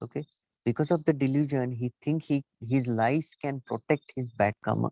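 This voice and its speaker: A man with a non-native accent talks fairly slowly at a medium pitch, with ordinary pitch variation. The sound is dry and close, with no echo. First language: not English. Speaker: Buddhist teacher. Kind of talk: dharma talk. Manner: halting.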